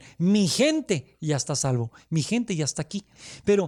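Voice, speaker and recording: Using very wide pitch swings, a man with a Mexican accent and a high pitch talks at a moderate pace on a very clean recording with a silent background and a dry, close sound with no echo. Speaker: immigration lawyer, show host. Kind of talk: casual discussion.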